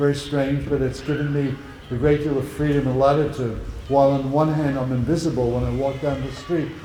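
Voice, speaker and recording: Over noticeable background noise and audible room echo, a man with a fairly high voice talks at a fairly quick pace in a monotone, flat way. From Netherlands. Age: 80s+. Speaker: Holocaust survivor speaker. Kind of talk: talk and Q&A with students. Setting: school event with audience.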